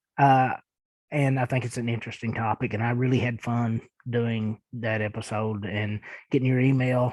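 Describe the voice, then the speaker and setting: A man talks at a moderate pace with a strong Eastern Kentucky accent. His intonation is monotone and flat. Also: medium pitch for a man. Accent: thick Eastern Kentucky. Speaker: podcast host. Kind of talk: casual podcast monologue answering listener emails. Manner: hesitant, many fillers.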